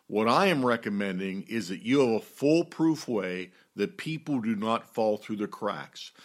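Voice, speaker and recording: At a fairly slow pace, a man with an American accent and a plain, everyday voice talks at medium pitch with lively intonation on a very clean recording, silent background. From US, Pittsburgh. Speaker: pastor and church leadership teacher. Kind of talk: teaching talk on church leadership.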